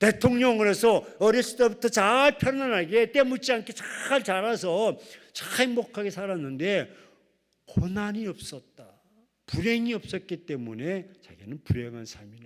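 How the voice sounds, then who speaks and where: The delivery has an animated tone and lively intonation. It moves at a fairly slow pace, with big swings in loudness. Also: man, high pitch for a man. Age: 60s. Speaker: pastor. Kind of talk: sermon.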